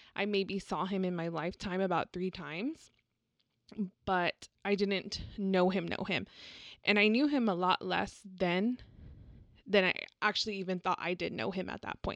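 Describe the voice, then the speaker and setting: In a Texan accent, a woman speaks at a moderate pace and medium pitch with ordinary pitch variation, leaving long, frequent pauses. The sound is dry and close with no echo, over a quiet background. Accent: Texan American English. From Texas, San Antonio. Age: 20s. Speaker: podcast co-host. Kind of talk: casual chat. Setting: home studio.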